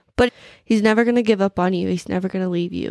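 A woman speaks in a plain, everyday voice at medium pitch with ordinary pitch variation. The sound is dry and close with no echo against a quiet background. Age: 20s. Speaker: faith podcast host. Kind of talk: personal testimony. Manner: casual, filler-heavy.

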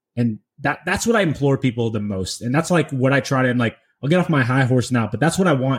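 The voice belongs to a man and is somewhat breathy. He speaks very fast. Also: medium pitch for a man, ordinary pitch variation. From San Francisco Bay Area. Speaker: podcast host, tech worker and real estate investor. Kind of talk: casual chat. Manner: animated.

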